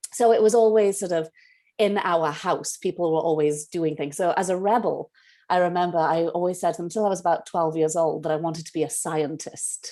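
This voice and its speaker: A woman with a Welsh accent speaks at a fairly quick pace, her dark, mellow tone carried by fairly even intonation. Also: fairly low pitch for a woman. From Wales, Cardiff. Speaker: playwright and director. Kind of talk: interview.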